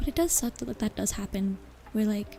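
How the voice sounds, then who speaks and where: Music plays behind a woman who talks at a very fast pace with a fairly high pitch. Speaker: vtuber streamer. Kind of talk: casual chat with livestream audience. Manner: relaxed, conversational, hesitant with filler words.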